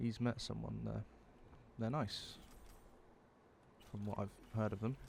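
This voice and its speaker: A quiet man with a British accent at a fairly slow pace. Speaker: vlogger. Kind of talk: personal confessional monologue. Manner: quiet, subdued; halting.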